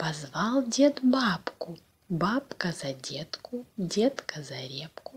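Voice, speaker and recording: Her pitch is fairly high for a woman. She swings through very wide pitch changes. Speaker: Russian language teacher. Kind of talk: reading aloud a fairy tale. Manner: slow, clear pronunciation.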